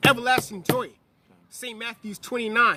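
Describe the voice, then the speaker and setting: Animated in tone, a man speaks in a raised, projected voice. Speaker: religious teacher. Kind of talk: sermon. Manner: loud.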